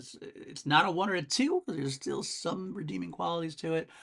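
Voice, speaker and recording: Fairly quick speech from a man. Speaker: music podcast host. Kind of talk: solo music review podcast. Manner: fast; casual, filler-heavy.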